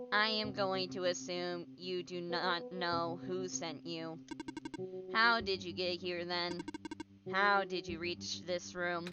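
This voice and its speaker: Clear music plays in the background as a woman uses a put-on character voice, fairly low-pitched, at a fairly slow pace. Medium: game stream. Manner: formal, measured, cryptic.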